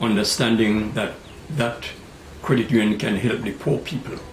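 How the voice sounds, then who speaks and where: Noticeable background noise behind a man at medium pitch with a Tobagonian accent. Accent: Tobagonian Caribbean English. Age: 80s+. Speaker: credit union founder. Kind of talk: interview answer.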